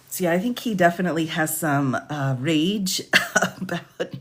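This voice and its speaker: Against noticeable background noise, a woman with a fairly low pitch speaks at a moderate pace with ordinary pitch variation. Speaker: lawyer commentator. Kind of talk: reading aloud with commentary. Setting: livestream.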